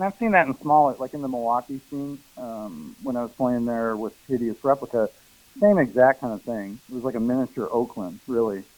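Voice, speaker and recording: Fairly quick speech comes in a plain, everyday voice. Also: man, medium pitch for a man. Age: 60s. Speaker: noise musician. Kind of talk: casual chat.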